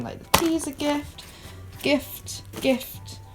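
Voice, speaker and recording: Against noticeable background noise, a woman talks with an English accent. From England. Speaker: vlogger. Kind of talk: vlog to camera.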